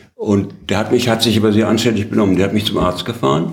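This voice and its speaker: Audible room echo surrounds a man's fairly low voice, which shows ordinary pitch variation. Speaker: former journalist and politician. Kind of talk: interview. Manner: halting.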